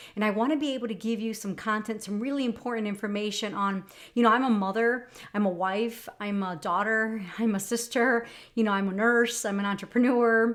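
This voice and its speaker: Speaking at a fairly quick pace, a woman keeps a fairly even intonation at a fairly high pitch. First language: Spanish. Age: 40s. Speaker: lifestyle vlogger and nurse. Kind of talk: casual personal vlog talk. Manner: conversational, many fillers.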